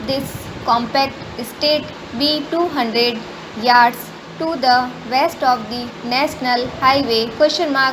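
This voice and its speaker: Noticeable background noise sits behind a woman with a high-pitched voice. She speaks at a fairly slow pace with fairly even intonation. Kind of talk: shorthand dictation read at 100 words per minute. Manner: slow, even dictation pace with spoken punctuation.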